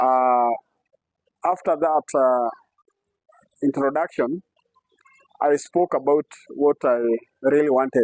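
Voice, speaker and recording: Speaking with a Kenyan accent, a man uses a fairly high pitch, fairly even intonation, and very even loudness at a very slow pace. Long, frequent pauses break his speech, and the sound is dry and close with no echo. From Kenya, Nairobi. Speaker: community library founder, former addict. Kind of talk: interview answer. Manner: hesitant, many fillers.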